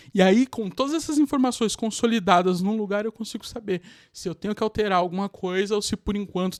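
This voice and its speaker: Fairly quick delivery in a dry, close recording with no echo, very clean and against a silent background. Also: man, hardly any pauses. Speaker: digital marketing youtuber. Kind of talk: tutorial. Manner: casual.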